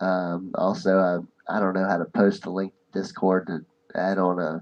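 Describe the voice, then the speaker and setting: A man talks in a fairly low voice. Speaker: podcast host. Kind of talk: casual chat. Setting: live stream. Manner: soft-spoken.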